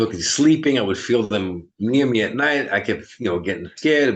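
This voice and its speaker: Talking at a very fast pace, a man with a strong New York accent uses ordinary pitch variation. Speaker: medium. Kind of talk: interview chat.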